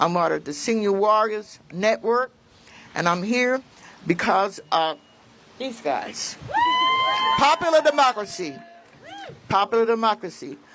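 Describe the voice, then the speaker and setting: A woman's very widely swinging pitch at a fairly slow pace, with long, frequent pauses and noticeable background noise. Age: 80s+. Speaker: patient advocate. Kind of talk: rally speech. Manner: halting.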